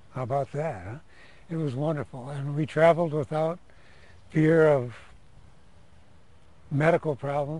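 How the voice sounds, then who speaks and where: A man with a fairly high pitch, a dark, mellow tone and a somewhat breathy voice talks at a moderate pace with ordinary pitch variation, big swings in loudness, and long, frequent pauses. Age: 60s. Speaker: retired police lieutenant. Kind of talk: testimony.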